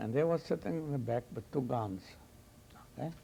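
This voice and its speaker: This is a man with a non-native accent. His tone is dark and mellow. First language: not English. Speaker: Holocaust survivor. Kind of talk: testimony. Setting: recorded interview. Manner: soft-spoken.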